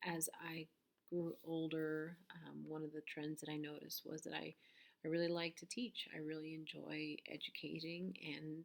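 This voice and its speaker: Very deep, low female speech, fairly even in intonation. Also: moderate pace. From US, moved from Peru at about five; Colorado from thirteen. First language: Spanish. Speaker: teacher. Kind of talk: personal introduction video. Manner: hesitant, many fillers.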